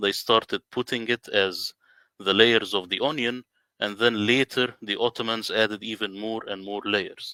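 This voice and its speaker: A man with an Arabic accent at a moderate pace, bright and sharp in tone, in a very clean recording with a silent background and a dry, close sound with no echo. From Middle East. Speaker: independent Quran translator. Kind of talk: presentation in a livestream interview.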